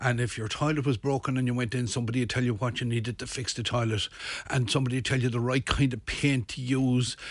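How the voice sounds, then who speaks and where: Talking at a very fast pace, a man uses a monotone, flat intonation. His voice is somewhat breathy, with a Limerick accent. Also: medium pitch for a man. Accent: Irish (Limerick). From Ireland, Midlands then Limerick. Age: 60s. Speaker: shopping centre manager. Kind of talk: radio interview. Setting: radio studio.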